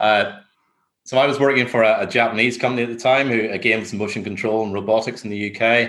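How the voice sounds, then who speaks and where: With a Northern Irish accent, a man speaks at a fairly quick pace and medium pitch. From Northern Ireland. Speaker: construction business development director. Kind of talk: interview.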